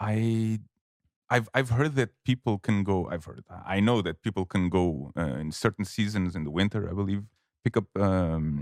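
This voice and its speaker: In a very clean recording with a silent background and a dry, close sound with no echo, a man with a Portuguese accent speaks at a moderate pace, his fairly low voice showing ordinary pitch variation. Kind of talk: casual chat.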